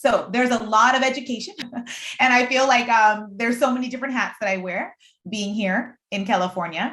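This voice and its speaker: In a Puerto Rican accent, a woman with a fairly high pitch speaks at a fairly quick pace with ordinary pitch variation. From Puerto Rico. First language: Spanish. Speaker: deaf aspiring astronaut, STEM panelist. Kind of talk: panel discussion. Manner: animated.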